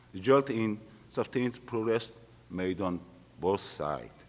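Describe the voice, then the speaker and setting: With a Korean accent, a man speaks in a fairly low pitch and lively intonation. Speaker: retired military officer, conference panelist. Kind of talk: panel discussion. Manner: halting.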